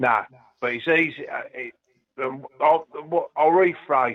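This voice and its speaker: The speaker has a London accent and a fairly slow pace. The loudness swings widely. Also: man. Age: 70s. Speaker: ska singer-songwriter. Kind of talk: interview. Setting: phone call. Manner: halting; animated.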